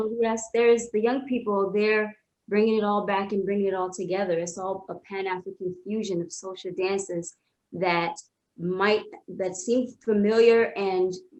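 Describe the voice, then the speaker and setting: A normal speaking voice from a woman, with fairly even intonation and a moderate pace. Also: medium pitch for a woman. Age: young. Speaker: choreographer. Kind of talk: panel discussion.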